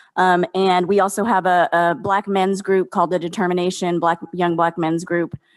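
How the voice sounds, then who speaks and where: Speaking at a moderate pace with hardly any pauses, a woman with a West Coast accent keeps a medium pitch, a flat, monotone intonation and very even loudness in a dry, close sound with no echo. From Oakland, California. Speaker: community organizer. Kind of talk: roundtable discussion. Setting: panel before observers.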